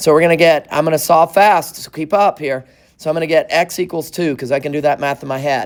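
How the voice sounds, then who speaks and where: A man at a fairly high pitch and a very fast pace. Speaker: math teacher. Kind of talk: classroom lecture. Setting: classroom with students.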